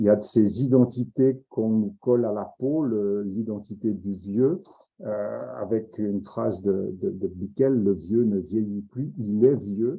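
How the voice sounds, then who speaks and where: Delivery comes at a very slow pace. The pitch varies in an ordinary way. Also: man, fairly low pitch for a man. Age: 60s. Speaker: professor. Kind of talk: lecture. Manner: halting.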